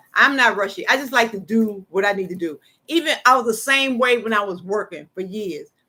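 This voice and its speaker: An animated woman's bright, sharp, fairly high voice at a fairly quick pace. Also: lively intonation. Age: 60s. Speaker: faith livestream host. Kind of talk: casual chat.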